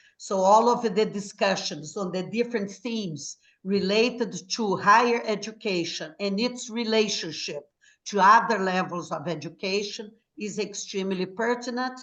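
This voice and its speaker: With an American accent, a woman talks at a moderate pace and medium pitch. Her pitch varies in an ordinary way. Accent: Brazilian American. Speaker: former English professor, educator. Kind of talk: formal welcome speech. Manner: formal.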